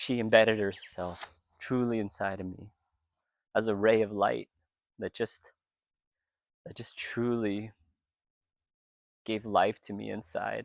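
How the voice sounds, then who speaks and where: A man talks at a fairly slow pace and fairly low pitch, his intonation monotone and flat, with long, frequent pauses. His loudness swings widely in a very clean recording with a silent background. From US, Vietnamese American. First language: Vietnamese. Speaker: retreat participant. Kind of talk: testimony. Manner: reflective, emotional.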